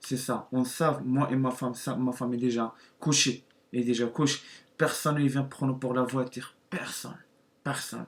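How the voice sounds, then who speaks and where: Someone with a non-native accent speaks at a fairly slow pace in a monotone, flat intonation. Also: man. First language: not French (speaking French). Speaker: YouTuber. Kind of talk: testimony. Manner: halting.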